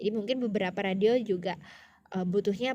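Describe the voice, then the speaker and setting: Moving at a fairly quick pace, a woman speaks at a fairly high pitch with ordinary pitch variation. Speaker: radio presenter and vlogger. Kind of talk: casual vlog talk to camera. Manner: casual with many fillers.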